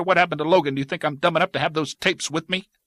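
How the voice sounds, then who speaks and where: Putting on a character voice, a man races along at a very fast pace and high pitch, his intonation fairly even, in a dry, close sound with no echo. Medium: read story. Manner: harsh, bitter.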